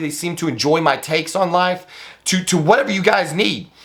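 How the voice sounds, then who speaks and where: A man speaks at a fairly quick pace in a high voice. His tone is bright and sharp. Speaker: fitness and bodybuilding YouTuber. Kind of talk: casual vlog monologue. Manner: halting, repeats words.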